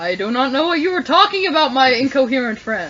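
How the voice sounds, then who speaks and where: A woman's put-on character voice, high-pitched and very fast, over clear background noise. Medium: actual play. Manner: pompous, condescending.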